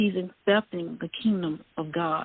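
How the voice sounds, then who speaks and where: At a very slow pace, a woman speaks in a Southern US accent with a medium pitch and ordinary pitch variation. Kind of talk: casual chat. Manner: halting.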